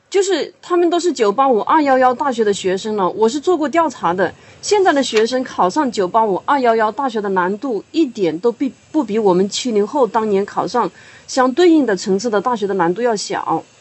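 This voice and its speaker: With noticeable background noise behind her, a woman talks at a fairly quick pace in a fairly high voice that swings very widely in pitch. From Hunan, China. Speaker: writer and university teacher. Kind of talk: podcast discussion.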